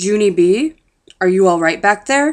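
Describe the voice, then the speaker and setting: A put-on character voice from a woman, medium in pitch, with lively intonation and a moderate pace. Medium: read story. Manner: calm, measured.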